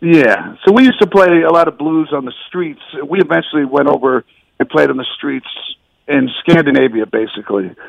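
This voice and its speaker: A man talks at a fairly quick pace in a normal speaking voice, fairly high in pitch with lively intonation. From US South (Miami, Atlanta, Austin), born in the Bronx. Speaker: musician. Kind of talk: radio interview.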